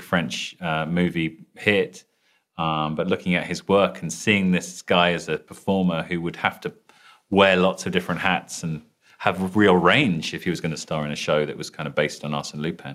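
Speaking at a moderate pace, a man with a British accent has a very deep, low pitch. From London, England. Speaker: TV showrunner and writer. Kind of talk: interview.

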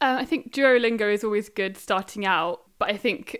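A woman speaks with an English accent on a very clean recording with a silent background. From England. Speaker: language learner. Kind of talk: interview.

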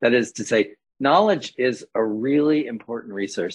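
Here a man talks in a normal speaking voice at a moderate pace with ordinary pitch variation. The sound is dry and close, with no echo. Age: 60s. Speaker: professor and healing practitioner. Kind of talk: casual interview.

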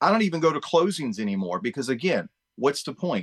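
The pitch swings very widely, with vocal fry throughout. The sound is dry and close, with no echo. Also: man. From Chesapeake, Virginia, US. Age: 50s. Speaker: real estate agent. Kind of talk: casual interview. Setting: video call.

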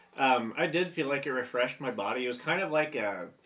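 Here a man has an unremarkable speaking voice at medium pitch. He keeps a moderate pace with lively intonation. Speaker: podcast host. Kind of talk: casual banter. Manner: joking, profane.

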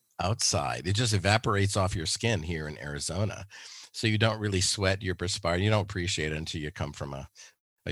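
Recorded very cleanly with a silent background, a man with an American accent speaks at a fairly quick pace in a very deep, low pitch with vocal fry and ordinary pitch variation. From Louisiana, US South. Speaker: therapist. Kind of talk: interview conversation.

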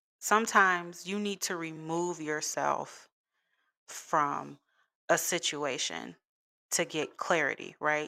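Very slowly and with fairly even intonation, a woman with an American accent speaks in a very deep, low pitch and a bright, sharp tone, on a very clean recording with a silent background. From US Midwest, Chicago. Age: 30s. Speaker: podcaster. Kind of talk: personal monologue. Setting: home recording.

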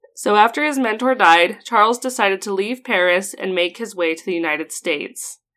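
A woman with an Idaho accent, a medium pitch, a bright, sharp tone, lively intonation and a moderate pace, in a very clean recording with a silent background. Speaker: history podcast host. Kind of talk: casual chat. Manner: laughs often.

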